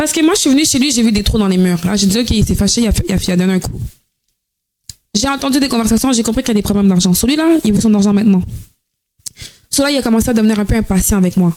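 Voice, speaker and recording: A woman with a fairly high pitch talks very fast with lively intonation and very even loudness. She leaves long, frequent pauses. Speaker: podcast guest, former OnlyFans creator. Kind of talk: personal testimony in casual interview. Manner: energetic.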